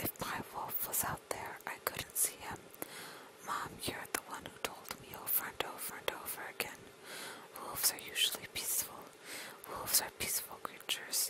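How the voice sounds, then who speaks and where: Over noticeable background noise, a whisper comes through with long, frequent pauses. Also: moderate pace. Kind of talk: whispered audiobook-style reading for relaxation; ASMR whisper video. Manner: whispered.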